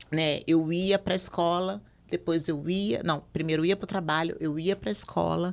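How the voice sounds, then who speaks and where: A woman's fairly low, normal speaking voice, with fairly even intonation at a fairly slow pace. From Brazil, Minas Gerais (Belo Horizonte). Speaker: podcast guest sharing life story. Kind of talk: conversational podcast testimony.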